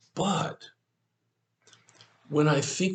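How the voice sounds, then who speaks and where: With vocal fry, a man talks at a very slow pace. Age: 70s. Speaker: pastor. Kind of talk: devotional talk.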